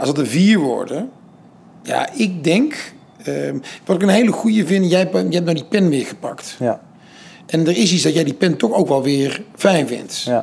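Speaking at a fairly slow pace with long, frequent pauses, a man uses a high pitch and lively intonation. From Netherlands, Den Bosch. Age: 40s. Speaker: entrepreneur and foundation founder. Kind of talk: interview. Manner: halting.

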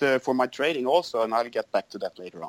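In a dry, close sound with no echo, a man with a medium pitch speaks in a Swedish accent. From Sweden. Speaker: business owner and trader. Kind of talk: interview. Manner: halting.

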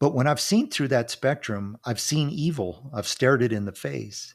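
A man's medium-pitched voice with lively intonation at a fairly slow pace, on a very clean recording with a silent background. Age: 50s. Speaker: retired minister and therapist, podcast host. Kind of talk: solo monologue with personal testimony.

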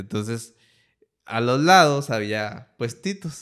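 A man at medium pitch swings his pitch very widely in a very clean recording with a silent background. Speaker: podcast host. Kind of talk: casual interview chat. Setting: home studio.

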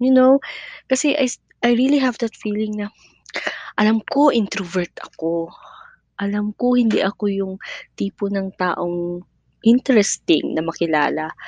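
A woman speaks at a medium pitch with lively intonation and a fairly slow pace, leaving long, frequent pauses, in a dry, close sound with no echo. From Mindanao, Philippines (Cotabato City). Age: 20s. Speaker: podcaster, teacher. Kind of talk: casual personal monologue.

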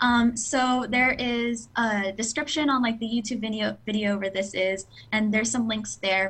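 With an American accent, a woman has a normal speaking voice, fairly high in pitch, moving at a moderate pace with fairly even intonation and hardly any pauses. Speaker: scholarship recipient, English teacher. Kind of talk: interview.

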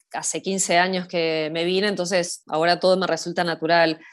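The woman's pace is moderate. Her pitch sits in the medium range. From Argentina, Buenos Aires city. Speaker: Argentine expat in Scotland, mountain hiker. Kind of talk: casual interview chat. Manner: hesitant, many repetitions and fillers.

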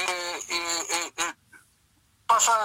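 A bright, sharp tone marks a man's raised, projected voice. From Chile, Lota mining area. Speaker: retired football goalkeeper. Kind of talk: phone interview reminiscing. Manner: halting, many repetitions.

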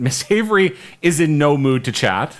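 On a very clean recording with a silent background, a man with an unremarkable speaking voice speaks with ordinary pitch variation. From Canada, Winnipeg. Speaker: podcast host. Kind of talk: casual chat.

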